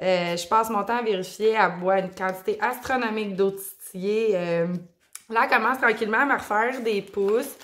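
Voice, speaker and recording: A woman with a Quebec accent speaks with ordinary pitch variation. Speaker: plant YouTuber. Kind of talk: casual video vlog. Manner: hesitant, many fillers.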